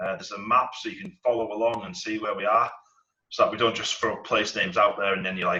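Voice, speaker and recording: This is a man speaking. He has a northern English accent. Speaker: dungeon master. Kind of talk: casual chat. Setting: live stream. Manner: hesitant, many fillers.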